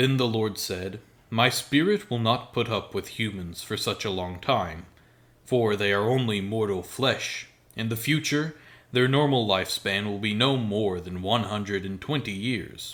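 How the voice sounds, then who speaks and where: Fairly low in pitch, a man speaks at a fairly slow pace with ordinary pitch variation. The recording is very clean, with a silent background. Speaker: voice actor. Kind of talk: scripture reading. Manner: soothing.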